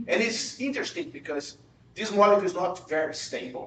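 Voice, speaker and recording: A man with a Portuguese accent talks at a fairly quick pace. Audible room echo and noticeable background noise are present. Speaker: professor. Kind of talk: lecture. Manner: halting, with frequent repetitions.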